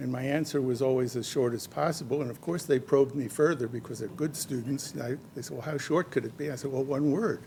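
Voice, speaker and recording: Very fast and somewhat breathy, a man speaks at a medium pitch in a dark, mellow tone with ordinary pitch variation. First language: not English. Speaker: event organizer and master of ceremonies; retired teacher and scientist. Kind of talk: speech at award ceremony. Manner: halting, with frequent fillers.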